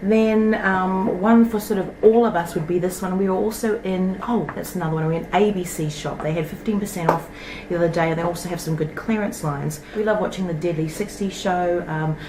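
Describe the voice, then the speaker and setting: A New Zealand accent at a fairly quick pace, with audible room echo and noticeable background noise. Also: woman, medium pitch for a woman, ordinary pitch variation. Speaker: toy collecting YouTuber. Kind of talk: casual show-and-tell vlog. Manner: chatty, rambling with fillers.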